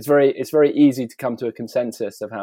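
A man speaks at a fairly quick pace with an English accent. The sound is dry and close, with no echo. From England. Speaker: artist. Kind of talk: interview. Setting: video call. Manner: hesitant, many fillers.

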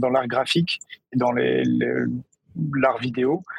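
A man talks at a fairly slow pace. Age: 40s. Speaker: music tech startup CEO. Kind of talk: interview.

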